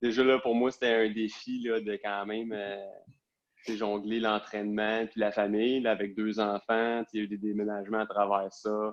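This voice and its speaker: Here a man speaks with a Quebec accent in a fairly low pitch. His pace is moderate and his intonation is flat and monotone. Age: 30s. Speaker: police officer. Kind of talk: interview. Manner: hesitant, many fillers.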